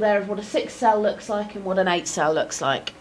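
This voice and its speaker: A woman speaks in a fairly high voice, with noticeable background noise and an audible echo in the room. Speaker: academic researcher. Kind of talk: lecture. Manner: fast.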